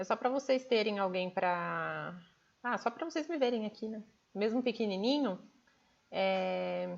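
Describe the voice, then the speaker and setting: A woman speaks at a fairly slow pace. Her speech has long, frequent pauses. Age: 30s. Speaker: nutrition program coach. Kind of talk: live stream talk. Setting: livestream. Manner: animated.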